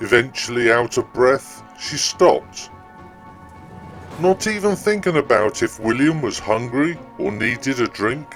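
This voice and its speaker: A man with a medium pitch, lively intonation and a fairly slow pace, with music in the background. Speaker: storyteller. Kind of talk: ghost story reading.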